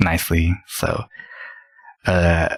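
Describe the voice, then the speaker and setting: Recorded dry and close with no echo, a man speaks at a very deep, low pitch. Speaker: gaming streamer. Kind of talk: tutorial. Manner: halting.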